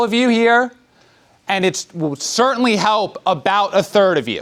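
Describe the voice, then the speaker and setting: A high-pitched man speaks loudly with ordinary pitch variation. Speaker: lawyer. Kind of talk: public presentation. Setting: community center town hall with audience.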